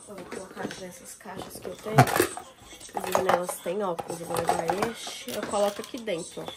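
A woman talks with big swings in loudness. There is noticeable background noise. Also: medium pitch for a woman, ordinary pitch variation, moderate pace. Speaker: lifestyle vlogger. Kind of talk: casual vlog talk to camera. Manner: animated.

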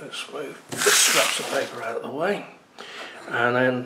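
Someone speaks at a fairly slow pace over loud background noise. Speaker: product reviewer. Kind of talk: tutorial. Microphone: camera far.

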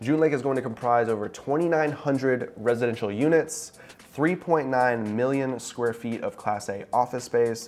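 A man talks fairly slowly, his pitch varying in an ordinary way. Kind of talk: explainer vlog commentary. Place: office. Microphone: lapel.

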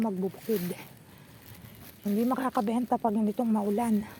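Somewhat breathy and fairly high in pitch, a woman speaks with monotone, flat intonation. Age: old. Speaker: vlogger and farmer. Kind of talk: casual vlog narration. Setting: outdoors.

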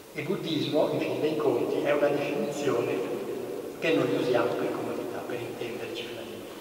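Strong room echo and light background noise accompany a man's voice. He speaks fairly quickly at a fairly high pitch with ordinary pitch variation. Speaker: Zen Buddhist monk. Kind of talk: talk at a book presentation. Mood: calm, reflective. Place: church.

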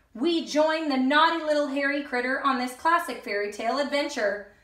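With strong room echo around her, a woman speaks at a high pitch in a bright, sharp tone.

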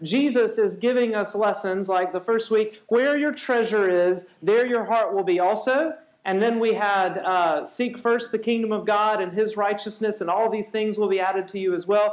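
A man's high-pitched voice at a moderate pace, with hardly any pauses, fairly even intonation, a quiet background and audible room echo. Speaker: pastor. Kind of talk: sermon. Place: church.

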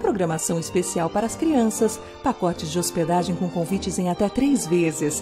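A woman talks at a moderate pace while background music plays. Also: very even loudness. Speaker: voice-over announcer. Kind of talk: radio/TV commercial read.

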